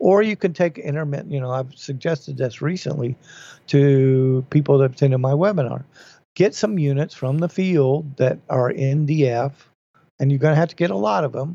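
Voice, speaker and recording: A man with an unremarkable speaking voice, fairly high pitch, ordinary pitch variation and a moderate pace. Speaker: podcast host.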